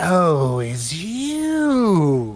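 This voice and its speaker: A put-on character voice is being used. The pitch lands in the middle. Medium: actual play. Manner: aloof, formal, condescending.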